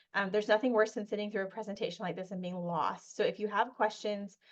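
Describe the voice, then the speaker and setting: The woman speaks at a very fast pace. Her pitch is medium and her intonation fairly even. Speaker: parliamentary procedure trainer. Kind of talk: webinar presentation.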